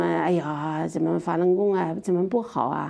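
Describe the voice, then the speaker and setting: The woman's voice has a dark, mellow tone. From Sichuan (Chongqing). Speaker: interview guest sharing personal story. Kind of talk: testimony.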